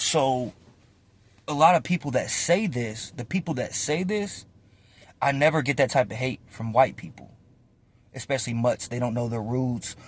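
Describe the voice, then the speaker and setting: On a very clean recording with a silent background, a man with an American accent speaks at a moderate pace in a medium, somewhat breathy voice with lively intonation and long, frequent pauses. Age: 20s. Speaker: vlogger and storyteller. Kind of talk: casual monologue to camera. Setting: in a car. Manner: animated.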